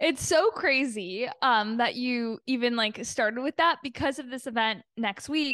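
Against a quiet background, a woman with a high pitch talks at a moderate pace, her pitch varying normally. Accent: Canadian. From Canada, Toronto. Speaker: PR agency owner and podcaster. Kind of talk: casual interview chat.

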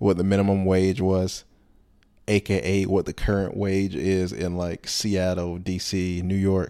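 Speaking in an American accent at a fairly slow pace, a man talks in a very deep, low voice with a dark, mellow tone and flat, monotone intonation, recorded very cleanly against a silent background. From North Carolina. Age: 20s. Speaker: podcast host and comedian. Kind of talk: casual solo monologue.

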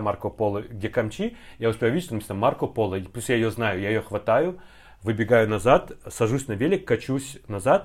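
A man speaks in a normal speaking voice at a medium pitch and moderate pace. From Kazakhstan, Semey. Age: 30s. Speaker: translator and actor. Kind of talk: casual chat.

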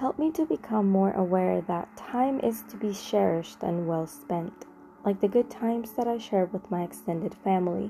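An ordinary speaking voice, a woman's medium pitch moves with lively intonation. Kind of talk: guided meditation. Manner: slow, calm, prayerful; soft-spoken, reverent.

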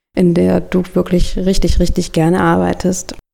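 A woman's dark, mellow voice at a medium pitch and a moderate pace. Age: 30s. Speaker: podcast host and project manager. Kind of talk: scripted podcast intro.

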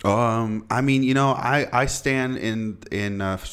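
In an unremarkable speaking voice, a man talks at medium pitch with fairly even intonation. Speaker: podcast host. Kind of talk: casual chat. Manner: laid-back, joking.

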